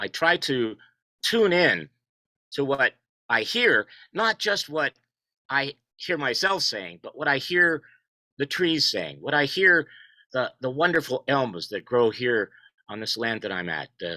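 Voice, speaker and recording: Loud and dry, a man speaks close up with no echo, his fairly high pitch swinging very widely. The tone is bright and sharp, with vocal fry and a fairly slow pace. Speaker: poet and contributor to an essay collection. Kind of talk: video call panel discussion. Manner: halting, repeats words.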